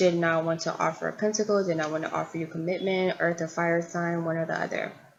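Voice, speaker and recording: A woman talks at a fairly quick pace and a fairly low pitch in a monotone, flat intonation. Background noise is noticeable. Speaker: tarot reader. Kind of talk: tarot reading monologue.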